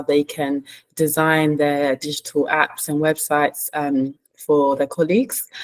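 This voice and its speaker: In a London accent, a woman with a very deep, low pitch speaks at a moderate pace, the sound dry and close with no echo. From London, England. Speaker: management consultant. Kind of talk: panel introduction.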